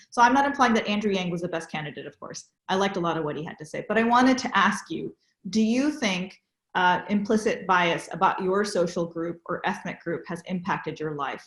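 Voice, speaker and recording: A woman with a West Coast US accent speaks at a fairly quick pace. Her pitch sits in the middle range, and her intonation is lively. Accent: General American, West Coast. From San Francisco Bay Area. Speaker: interfaith interviewer. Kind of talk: interview.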